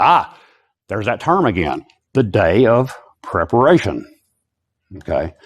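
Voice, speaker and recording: A man's voice makes very wide pitch swings over a quiet background. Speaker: Bible teacher. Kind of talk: lecture. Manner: fast.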